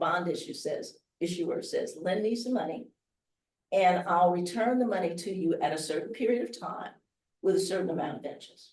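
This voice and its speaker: A woman with an American accent speaks with lively intonation in a somewhat breathy voice. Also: medium pitch for a woman. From US Midwest, Chicago. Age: 70s. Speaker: investing speaker. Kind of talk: workshop talk. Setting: hotel event room with live audience.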